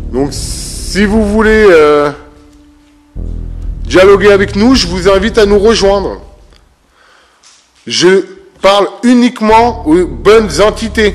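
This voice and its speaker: A man's high-pitched voice at a very slow pace, with long, frequent pauses, very even loudness, ordinary pitch variation and music in the background. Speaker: paranormal investigator YouTuber. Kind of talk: spirit-communication session, addressing entities aloud. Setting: abandoned castle at night.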